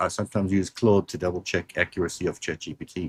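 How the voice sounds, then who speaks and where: A man with a South African accent speaks at a fairly quick pace. His pitch is very deep and low, in a dry, close sound with no echo. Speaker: show host. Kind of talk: live interview.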